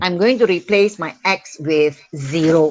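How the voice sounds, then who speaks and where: Very slow speech in a Malaysian accent, with ordinary pitch variation. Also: woman. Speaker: school math teacher. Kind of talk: online class lesson. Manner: slow, repetitive.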